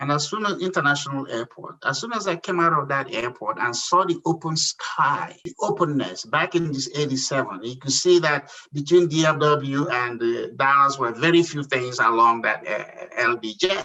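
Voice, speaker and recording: A man with a Nigerian accent, his pitch fairly high, talking at a moderate pace with hardly any pauses. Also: ordinary pitch variation. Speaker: entrepreneur. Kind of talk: interview.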